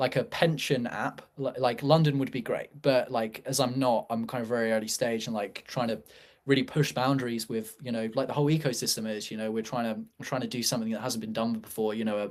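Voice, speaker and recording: A man with a medium-pitched voice speaks at a fairly quick pace with fairly even intonation. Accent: British. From UK. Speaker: startup founder. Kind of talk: casual chat. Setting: live show. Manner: halting, many fillers.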